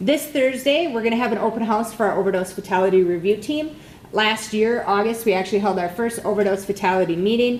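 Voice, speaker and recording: A woman's pitch moves in an ordinary way as noticeable background noise carries on behind her. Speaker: prevention coordinator hosting a community meeting. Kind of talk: meeting announcements to a live audience. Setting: meeting room with audience. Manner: fast.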